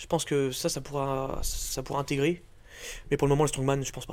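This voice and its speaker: This man's voice sits fairly high and moves at a fairly quick pace. The recording is very clean, with a silent background. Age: 20s. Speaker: strongman athlete. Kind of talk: casual interview.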